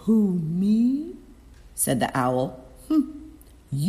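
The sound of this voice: This is an unforced reading voice. The words come out read aloud.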